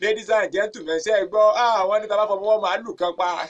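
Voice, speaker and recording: A man with a Nigerian accent speaks in a high pitch at a moderate pace. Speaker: radio presenter. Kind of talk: comedic radio show. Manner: upbeat, animated.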